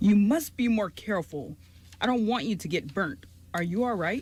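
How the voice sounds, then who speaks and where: A resonant, put-on character voice at a fairly high pitch and moderate pace. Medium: audio drama. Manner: gentle, courteous.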